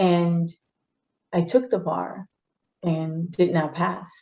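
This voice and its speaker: A woman with a Spanish accent, fairly low in pitch, with a dark, mellow tone and fairly even intonation. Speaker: politician. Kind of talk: interview.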